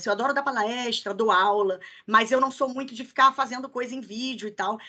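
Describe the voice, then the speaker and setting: Against a quiet background, a woman speaks in a high pitch with a bright, sharp tone. Her intonation is fairly even. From Rio de Janeiro, Niterói. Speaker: HR recruiter, career mentor. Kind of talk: online masterclass, casual Q&A. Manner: fast.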